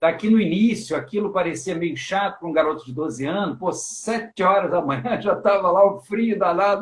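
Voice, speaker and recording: A man talks at a moderate pace with hardly any pauses. His high voice shows ordinary pitch variation. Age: 50s. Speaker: teacher and live stream host. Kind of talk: casual chat. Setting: online live stream.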